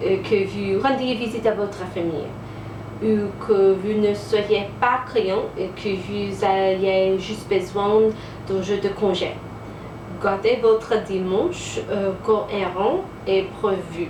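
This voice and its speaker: A woman with an American accent talks at a very slow pace, her medium-pitched voice held to fairly even intonation. Noticeable background noise and audible room echo sit behind her. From United States. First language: English (speaking French). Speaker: French teacher and homesteading vlogger. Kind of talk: casual vlog talk to camera. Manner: halting, many hesitations.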